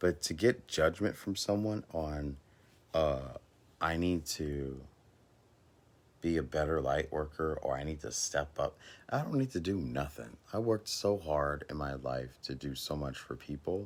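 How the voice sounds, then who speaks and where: At a fairly slow pace, a man talks in a very deep, low pitch with ordinary pitch variation. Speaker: spiritual coach and light worker. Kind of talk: casual livestream monologue. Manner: halting.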